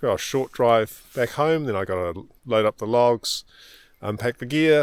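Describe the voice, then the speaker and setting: Speech moves at a moderate pace with ordinary pitch variation and a New Zealand accent. The sound is dry and close with no echo, on a very clean recording with a silent background. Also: man, medium pitch for a man. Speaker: amateur radio operator. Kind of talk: casual vlog narration. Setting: outdoors in a park. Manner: halting with fillers.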